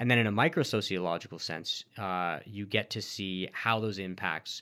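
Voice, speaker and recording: Fairly low male pitch with ordinary variation, a bright, sharp tone, and a moderate pace, on a very clean recording over a silent background. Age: 30s. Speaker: sociology researcher. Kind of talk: interview.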